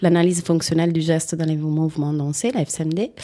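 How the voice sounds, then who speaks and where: A woman speaks with a dark, mellow tone. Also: very clean recording, silent background. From Italy. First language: Italian (speaking French). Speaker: rolfing practitioner, former dancer. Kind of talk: interview. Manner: halting.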